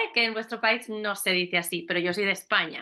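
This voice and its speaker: Her tone animated, a woman talks at a fairly quick pace with ordinary pitch variation. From Spain, Albacete. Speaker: teacher, children's tour guide. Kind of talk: casual interview chat.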